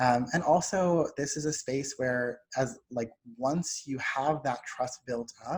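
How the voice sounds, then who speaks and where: A somewhat breathy man at a fairly high pitch, speaking very slowly with ordinary pitch variation. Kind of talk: lecture.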